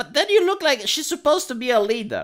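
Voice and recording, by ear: The intonation is lively. The tone comes across bright and sharp.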